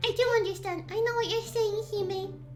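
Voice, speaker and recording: A squeaky, put-on character voice goes at a moderate pace while clear music plays in the background. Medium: virtual streamer.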